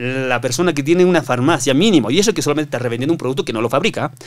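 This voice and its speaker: Against a quiet background, someone with a Chilean accent speaks at a very fast pace. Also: man. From Bolivia, Oruro; Bolivia. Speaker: construction worker; podcast guest. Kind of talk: casual chat. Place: studio. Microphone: studio mic.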